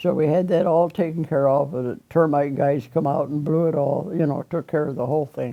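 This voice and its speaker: A woman with a Midwestern American accent, very deep and low in pitch, at a moderate pace with ordinary pitch variation. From Rockford area, Michigan. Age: 80s+. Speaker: retired restaurant cook. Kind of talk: oral history interview answer.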